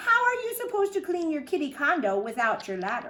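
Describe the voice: A woman's put-on character voice, high and bright with a sharp tone, with big pitch swings at a fairly quick pace.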